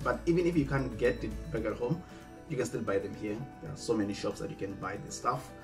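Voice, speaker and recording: A man is speaking. Clear music plays behind him. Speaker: student vlogger. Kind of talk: casual vlog chat. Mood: friendly, upbeat. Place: home room.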